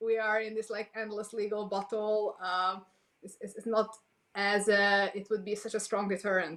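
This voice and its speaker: A woman speaks at medium pitch and a moderate pace in a monotone, flat intonation, with big swings in loudness. The recording is very clean with a silent background. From Hungary. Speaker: politician. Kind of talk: panel discussion. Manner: halting, many fillers.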